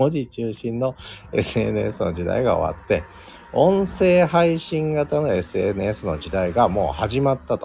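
A man with a medium-pitched voice and a relaxed tone speaks at a very slow pace, with very wide pitch swings, big swings in loudness, and noticeable background noise. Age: 50s. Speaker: podcast host. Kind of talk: solo live stream talk. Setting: open studio.

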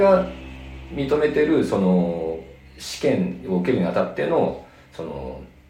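With audible room echo and noticeable background noise behind him, a man's pitch swings very widely. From Nagano, Japan. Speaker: veterinarian. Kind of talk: interview. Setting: exam room.

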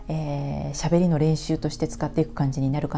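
A woman's somewhat breathy voice with a dark, mellow tone. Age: 40s. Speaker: coach. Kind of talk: solo monologue. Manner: halting.

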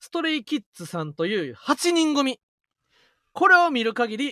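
In a Kansai accent, a man speaks at a moderate pace in a raised, projected voice, his extremely high pitch making very wide swings. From Osaka, Kansai. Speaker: comedian, radio podcast co-host. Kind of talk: casual chat. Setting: live stream.

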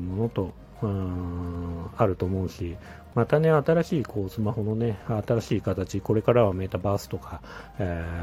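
With music in the background, a man's pitch shows ordinary variation. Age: 40s. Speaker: podcaster, former mobile game producer. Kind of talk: casual solo monologue. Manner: hesitant, many fillers.

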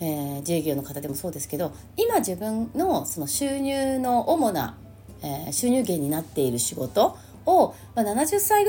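Her tone dark and mellow and somewhat breathy, a woman speaks at a moderate pace and medium pitch with very wide pitch swings. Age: 50s. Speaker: astrologer. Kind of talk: casual monologue. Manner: chatty with many fillers.

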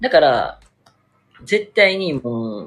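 This man's pitch swings very widely. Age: 20s. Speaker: livestreamer. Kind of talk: casual chat. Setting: solo live stream.

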